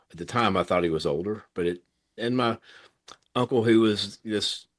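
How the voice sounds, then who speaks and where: A man with a Tennessee accent and fairly even intonation, over a quiet background. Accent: US Southern (Tennessee). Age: 60s. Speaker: thoracic surgeon. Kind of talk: interview conversation. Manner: passionate.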